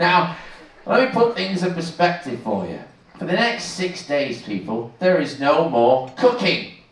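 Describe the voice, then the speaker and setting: A man with a British accent speaks at a fairly slow pace and a high pitch, with very wide pitch swings. Noticeable background noise and audible room echo are present. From Manchester, England. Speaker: cruise director. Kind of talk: stage show hosting. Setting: stage with audience. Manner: animated.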